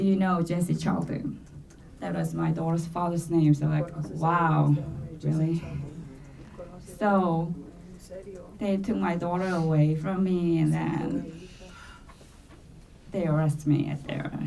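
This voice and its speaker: A woman with a Korean accent speaks at a fairly slow pace and fairly low pitch, her intonation fairly even and her pauses long and frequent. Audible room echo and noticeable background noise fill the recording. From South Korea. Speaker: domestic violence survivor. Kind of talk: testimony. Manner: halting.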